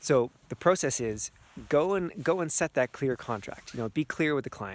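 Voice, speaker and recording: Speaking at a fairly quick pace, this man is heard on a very clean recording with a silent background. The sound is dry and close, with no echo. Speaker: energy healer and coach. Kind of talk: outdoor vlog talk to camera. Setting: outdoors in snow. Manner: fast.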